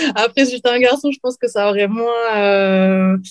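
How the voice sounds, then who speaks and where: A woman talks at a moderate pace with fairly even intonation in a normal speaking voice. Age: 40s. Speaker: professional MMA fighter and librarian. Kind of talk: interview.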